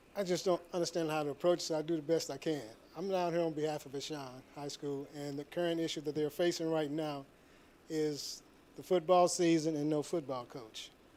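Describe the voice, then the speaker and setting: Here a man with a St. Louis accent has a dark, mellow tone and fairly high pitch. He keeps fairly even intonation at a fairly quick pace. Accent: Midwestern American, St. Louis. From St. Louis, Missouri. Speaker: public commenter, military veteran. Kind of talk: public comment at board meeting. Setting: public meeting room.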